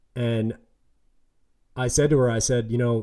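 A man talks at a moderate pace with an American accent. His voice sits at a medium pitch. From New York Tri-State area. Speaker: podcast host. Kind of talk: casual chat.

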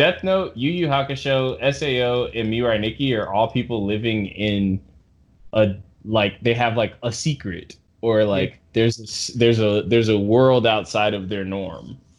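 A man talks in a normal speaking voice at a moderate pace. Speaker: podcast host. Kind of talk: casual chat. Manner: joking, playful.

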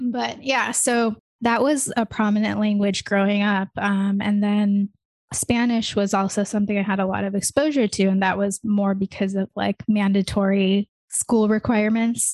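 Against a quiet background, a woman talks at a moderate pace in a plain, everyday voice with a medium pitch and fairly even intonation. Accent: General American. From US. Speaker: podcast host. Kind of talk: casual chat.

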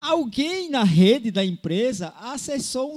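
A man with an extremely high pitch and lively intonation. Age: 50s. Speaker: podcast host. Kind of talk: casual chat.

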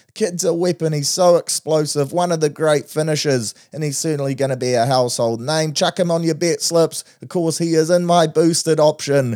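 A man with a New Zealand accent talks with hardly any pauses, his pitch fairly high and his tone dark and mellow. The sound is dry and close with no echo, and his pitch varies in an ordinary way. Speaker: podcast host, betting tipster.

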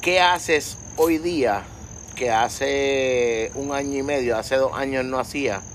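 A man at a very slow pace, fairly high in pitch, with ordinary pitch variation. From Puerto Rico. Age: 30s. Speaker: podcast host. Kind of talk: casual interview chat. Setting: outdoor patio at home.

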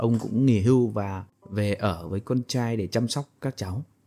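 This man's voice sits at a medium pitch with a dark, mellow tone. His pitch varies in an ordinary way. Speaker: podcast host and storyteller. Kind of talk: story narration with commentary. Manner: slow, calm.

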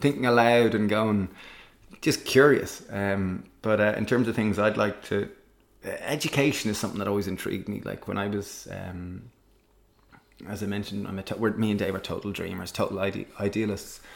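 Here a man speaks in an Irish accent at a fairly low pitch. His pace is moderate and his intonation fairly even. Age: 30s. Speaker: social entrepreneur and cookbook author. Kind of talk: casual interview conversation.

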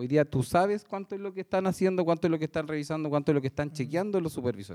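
A man with a Chilean accent, dark, mellow tone and ordinary pitch variation, in a very clean recording with a silent background. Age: 40s. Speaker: construction site engineer. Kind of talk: panel discussion.

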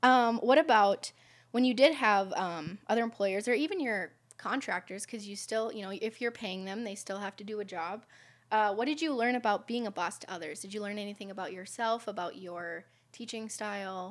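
A woman with a normal speaking voice talks at medium pitch and a moderate pace, with ordinary pitch variation. Her loudness swings widely on a very clean recording with a silent background. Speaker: podcast host. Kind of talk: interview.

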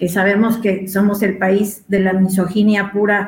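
With a Mexican accent, a woman speaks at a fairly slow pace and medium pitch. Her intonation is monotone and flat, and audible room echo surrounds her voice. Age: 40s. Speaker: feminist activist. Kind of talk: panel discussion.

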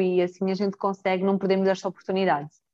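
This woman speaks at a medium pitch with a dark, mellow tone. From Mozambique, Brazilian family. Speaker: brand manager and company director. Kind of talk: casual interview chat. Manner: animated.

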